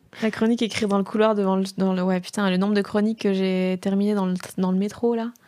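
Speaking fairly quickly in a flat monotone, a woman with a medium-pitched voice keeps her volume very even. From Belgium, rural province. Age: 20s. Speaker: comedian. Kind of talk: casual chat. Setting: studio.

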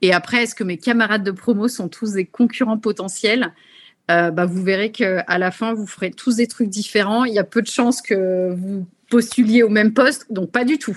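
A woman speaks at a moderate pace in a fairly high, somewhat breathy voice with ordinary pitch variation. The background is quiet. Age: 30s. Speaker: MBA graduate in marketing. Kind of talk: webinar testimony. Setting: video call.

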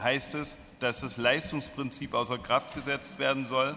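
A man's very slow, fairly evenly intoned speech comes through noticeable background noise. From Germany. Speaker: social enterprise president.

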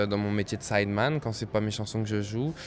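Music plays behind a man as he speaks. His intonation stays fairly even. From France, Créteil (Paris suburbs). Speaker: jazz pianist. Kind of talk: interview.

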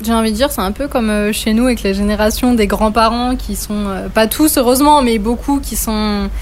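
A woman's fairly high-pitched voice at a moderate pace, fairly even in intonation and with hardly any pauses, over noticeable background noise. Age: 20s. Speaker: Spanish teacher. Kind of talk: casual chat.

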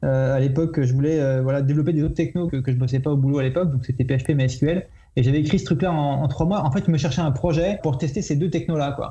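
A man talks at a very fast pace in a dark, mellow tone, somewhat breathy and very even in loudness. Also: fairly high pitch for a man, fairly even intonation. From Paris region, France. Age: 40s. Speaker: website creator, IT professional. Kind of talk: casual podcast interview.

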